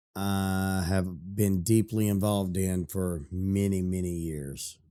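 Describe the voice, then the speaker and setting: Very slowly, a man speaks with a very deep, low pitch and fairly even intonation. His tone is dark and mellow, on a very clean recording with a silent background. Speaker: gaming youtuber. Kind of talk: casual talk to camera.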